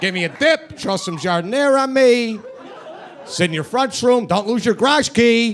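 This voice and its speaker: A man with a strong Chicago accent speaks at an extremely high pitch with lively intonation. His pace is moderate, and noticeable background noise can be heard. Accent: thick Chicago. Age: 30s. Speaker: comedian. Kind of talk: stand-up. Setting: stage with audience.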